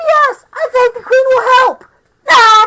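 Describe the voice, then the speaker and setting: A put-on character voice, squeaky and extremely high in pitch, delivers its lines at a fairly slow pace. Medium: read story. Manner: blunt, impatient, mocking.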